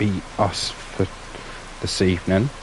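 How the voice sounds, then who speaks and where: A man's very slow speech over noticeable background noise. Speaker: gaming streamer. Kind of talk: live gameplay commentary. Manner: relaxed, hesitant with fillers.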